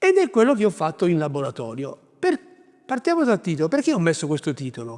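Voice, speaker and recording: At a fairly quick pace, a man speaks in a high voice with very wide pitch swings. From southern Italy, Basilicata. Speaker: writer, prize winner. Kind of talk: interview monologue.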